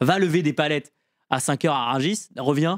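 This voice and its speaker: In a very clean recording with a silent background and a dry, close sound with no echo, a man speaks in an animated tone at a fairly high pitch with ordinary pitch variation. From rural France. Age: 20s. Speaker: stand-up comedian and student. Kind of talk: casual podcast interview. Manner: fast.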